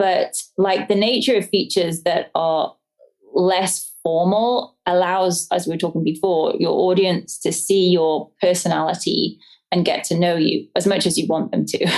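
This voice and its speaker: A woman with an English accent, medium in pitch, at a moderate pace, with fairly even intonation and very even loudness. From English countryside. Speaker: homesteader and business owner. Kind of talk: interview answer.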